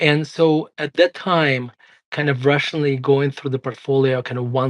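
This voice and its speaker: Dry, close sound with no echo, a man with a slight Russian accent, and a quiet background. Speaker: investment firm CEO and author. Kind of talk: interview conversation.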